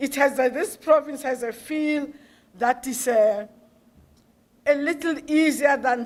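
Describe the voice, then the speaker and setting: She speaks with a South African accent at a fairly slow pace. Her pitch varies in an ordinary way. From South Africa, Pretoria. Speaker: professor. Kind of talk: public lecture Q&A response. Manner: halting, many fillers.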